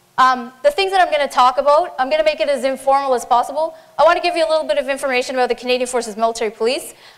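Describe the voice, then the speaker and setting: Very fast and high-pitched, a woman talks with fairly even intonation over noticeable background noise. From Newfoundland. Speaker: military police officer. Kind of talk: conference talk. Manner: informal.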